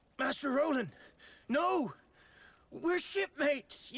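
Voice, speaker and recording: A man puts on a gruff character voice at an extremely high pitch and a fairly slow pace. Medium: video game. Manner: salty, gruff.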